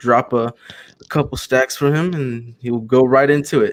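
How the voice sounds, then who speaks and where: With an American accent, a man uses a normal speaking voice at medium pitch, with ordinary pitch variation. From Texas, Houston. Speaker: comic book creator pitching a campaign. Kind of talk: casual chat.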